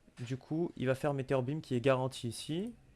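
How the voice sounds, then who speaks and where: A man speaks at a medium pitch with ordinary variation in his pitch. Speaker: Pokémon competitive player. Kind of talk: casual chat.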